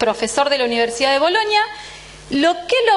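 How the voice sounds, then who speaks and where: A woman speaks with very wide swings in pitch. Noticeable background noise runs underneath. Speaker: university physiology professor. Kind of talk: lecture. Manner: tends to speed up.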